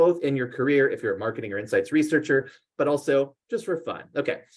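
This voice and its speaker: A man speaks at a very fast pace with a fairly high pitch. His pitch varies in an ordinary way. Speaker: marketing researcher. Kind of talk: presentation.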